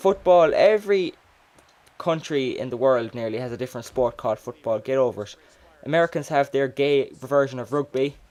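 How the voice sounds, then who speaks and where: Here a man speaks with an Irish accent at a fairly high pitch. He moves at a fairly quick pace with ordinary pitch variation. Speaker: gamer. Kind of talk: casual gameplay commentary. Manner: stuttering.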